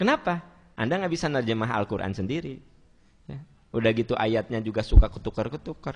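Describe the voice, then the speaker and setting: A man talks at a fairly quick pace. His tone is bright and sharp, with vocal fry. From West Java (Sundanese). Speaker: Islamic preacher. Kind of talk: sermon with Q&A.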